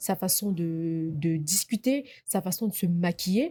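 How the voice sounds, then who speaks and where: A woman's lively intonation comes through over music in the background. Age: 20s. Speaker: podcast host. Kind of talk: casual chat.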